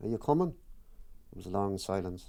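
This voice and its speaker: Speaking at a moderate pace in an Irish accent, a man uses a dark, mellow tone with very wide pitch swings. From Ireland. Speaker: author. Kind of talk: reading from own autobiographical book.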